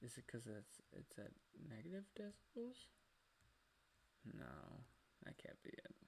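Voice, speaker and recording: Soft-spoken, a man talks at a fairly slow pace with long, frequent pauses. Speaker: art streamer. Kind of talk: casual live stream chat while drawing.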